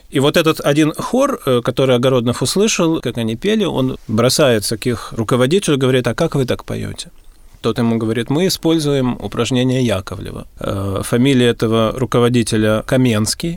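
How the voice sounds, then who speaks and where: A man's medium-pitched voice, fairly quick, with ordinary pitch variation, on a very clean recording with a silent background. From Russia, Gatchina near St Petersburg. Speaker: vocal teacher. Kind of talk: radio interview.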